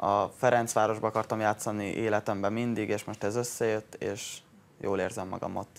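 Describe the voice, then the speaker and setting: A man speaks in a fairly low voice with monotone, flat intonation. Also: moderate pace. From Hungary. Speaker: footballer. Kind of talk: interview. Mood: pleased, modest. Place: studio. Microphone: lapel.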